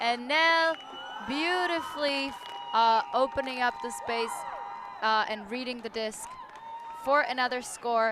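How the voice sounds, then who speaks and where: A woman talks at a high pitch and a fairly slow pace, with ordinary pitch variation. Long, frequent pauses break up her speech, and crowd noise fills the background. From Czech Republic. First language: Czech. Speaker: sports commentator. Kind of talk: live commentary.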